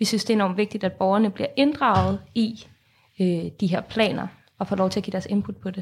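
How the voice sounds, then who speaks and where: A woman speaks at a moderate pace with fairly even intonation. Hers is an unremarkable speaking voice at medium pitch. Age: 20s. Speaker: student and climate activist. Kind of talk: interview. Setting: studio.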